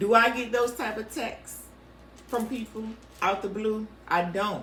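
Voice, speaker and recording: Speaking fairly slowly with fairly even intonation, a woman with a fairly high voice is heard against audible room echo. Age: 50s. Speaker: podcast co-host. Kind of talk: casual chat.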